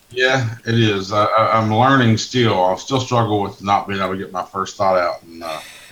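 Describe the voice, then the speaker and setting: A man's voice with ordinary pitch variation and hardly any pauses, over noticeable background noise. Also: fairly low pitch for a man, moderate pace. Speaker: truck dispatch manager, former driver. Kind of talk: casual chat. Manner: loud.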